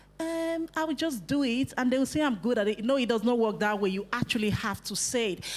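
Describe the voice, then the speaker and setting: Speaking with a Nigerian accent, a woman uses a fairly high pitch and lively intonation. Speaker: youth workshop facilitator. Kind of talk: workshop talk to youth group.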